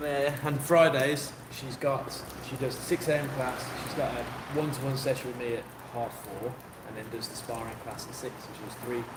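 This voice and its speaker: Amid noticeable background noise and audible room echo, a man with a West Midlands accent speaks at medium pitch and a fairly quick pace, with fairly even intonation and big swings in loudness. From West Midlands, England (Kidderminster). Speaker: boxing coach and livestreamer. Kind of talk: casual livestream chat.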